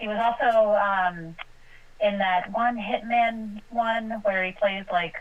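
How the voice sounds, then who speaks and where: Speaking at a very slow pace, a woman keeps her intonation fairly even. Her pitch sits fairly high. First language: not English. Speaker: podcast panelist. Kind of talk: casual chat. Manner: hesitant, many fillers.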